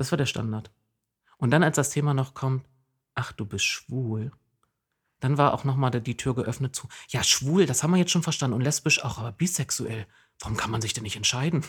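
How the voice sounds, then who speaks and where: A man speaks at a medium pitch with ordinary pitch variation, a moderate pace and a somewhat breathy sound. He leaves long, frequent pauses, and the recording is very clean with a silent background. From eastern Saxony-Anhalt, Jessen. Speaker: podcast co-host, local traffic activist. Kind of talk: casual chat.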